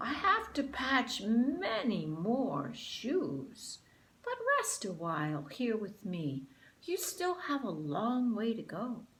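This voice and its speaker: A woman puts on a character voice at a fairly high pitch. She goes at a very slow pace with very wide pitch swings. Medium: read story. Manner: kindly.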